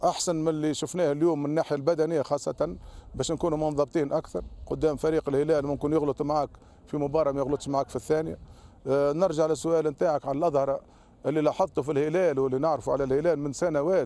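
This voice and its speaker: A man talks at a very fast pace with a fairly high pitch and fairly even intonation. His tone is dark and mellow, and the sound is dry with no echo. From Tunisia. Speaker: football coach. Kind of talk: post-match interview. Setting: at the stadium after the match. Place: stadium. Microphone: handheld.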